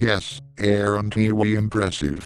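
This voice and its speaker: Using a put-on character voice, a man talks at a fairly low pitch. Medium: audio drama.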